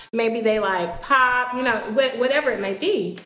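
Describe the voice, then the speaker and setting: There is audible room echo as a woman talks at a moderate pace. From US South, Atlanta. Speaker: singer. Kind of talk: casual chat. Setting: studio.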